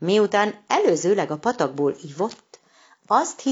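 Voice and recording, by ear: The setting is quiet. A person reads aloud naturally, the intonation lively.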